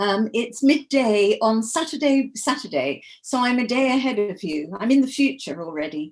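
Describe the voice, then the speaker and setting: Her voice is fairly high and swings very widely in pitch. The woman keeps a moderate pace with hardly any pauses. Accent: English. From England. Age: 70s. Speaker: author. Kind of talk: interview.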